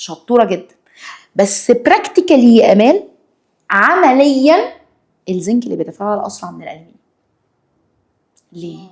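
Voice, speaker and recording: The speaker sounds animated, with very wide pitch swings and big jumps in loudness. The pace is moderate, broken by long, frequent pauses. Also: woman, high pitch for a woman. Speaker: science teacher. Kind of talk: lesson with student.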